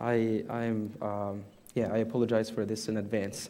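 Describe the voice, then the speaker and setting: A man with an Arabic accent and audible room echo. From Egypt. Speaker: imam. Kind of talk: sermon. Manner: halting.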